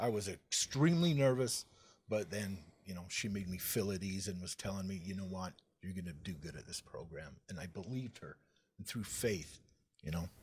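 Speaking at a moderate pace, a man uses a very deep, low, somewhat breathy voice with ordinary pitch variation. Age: 40s. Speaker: person in addiction recovery. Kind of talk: testimony. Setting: studio.

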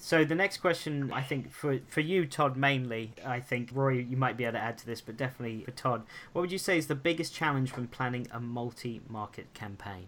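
Using an unremarkable speaking voice, a man with an American accent talks at a fairly quick pace and medium pitch with ordinary pitch variation and hardly any pauses. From USA. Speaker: podcast host. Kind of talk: podcast interview.

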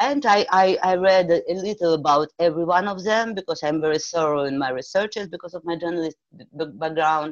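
With a Russian accent, a woman speaks at a fairly low pitch with ordinary pitch variation. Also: fairly quick pace. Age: 40s. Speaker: movement therapy practitioner. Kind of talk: interview. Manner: halting.

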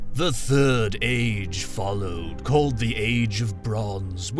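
A man speaks very slowly in a put-on character voice, pitched fairly low. Music plays clearly behind him. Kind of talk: archaic, solemn.

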